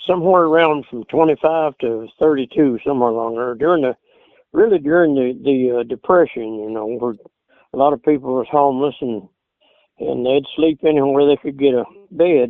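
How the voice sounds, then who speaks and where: A man with an Appalachian accent speaks at a moderate pace, his fairly high pitch rising and falling in an ordinary way. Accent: Southern Appalachian US. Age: 80s+. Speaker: old-time banjo player. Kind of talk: interview. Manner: halting.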